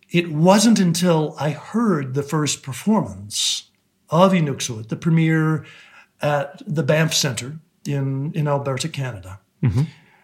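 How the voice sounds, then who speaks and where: This man has an American accent and a fairly high pitch with lively intonation. His voice is somewhat breathy, and he speaks at a fairly slow pace. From US. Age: 60s. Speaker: composer. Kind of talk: interview. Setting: video call. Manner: calm.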